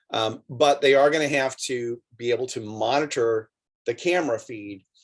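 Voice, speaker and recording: Speaking in a normal speaking voice, a man keeps a medium pitch and a moderate pace with ordinary pitch variation. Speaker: drone program instructor for coaches. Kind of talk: online instructional clinic.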